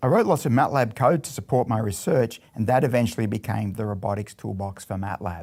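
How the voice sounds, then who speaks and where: A man with an Australian accent speaks at a fairly quick pace with hardly any pauses. His voice is medium-pitched and somewhat breathy, with ordinary pitch variation. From Australia (Melbourne). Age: 60s. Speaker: robotics professor. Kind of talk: scripted narration.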